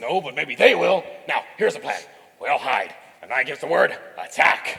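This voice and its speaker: A man puts on a character voice, speaking at a moderate pace. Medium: stage play.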